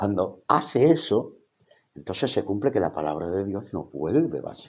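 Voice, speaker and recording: This man, with a Spanish accent, talks at a moderate pace in a fairly low pitch, his voice moving through very wide pitch swings. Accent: Spanish (Spain). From Spain. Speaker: theology college rector and evangelical teacher. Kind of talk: livestream Bible teaching. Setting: live stream on social media. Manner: hesitant, many fillers.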